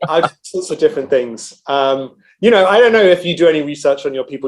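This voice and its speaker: British-accented speech from a man, delivered at a fairly quick pace. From England, London. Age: 40s. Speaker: energy research analyst. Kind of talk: interview. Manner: hesitant, many fillers.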